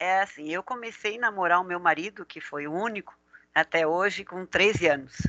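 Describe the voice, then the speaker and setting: At a moderate pace, a woman with a bright, sharp tone and medium pitch shows ordinary pitch variation and big swings in loudness, her sound dry and close with no echo. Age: 60s. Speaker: driving school owner and instructor. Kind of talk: interview.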